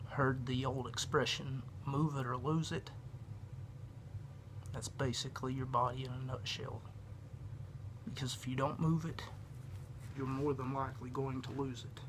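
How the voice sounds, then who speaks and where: A man talks at medium pitch in a somewhat breathy voice. His intonation is fairly even, and he takes long, frequent pauses. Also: moderate pace. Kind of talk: casual yoga instruction to camera.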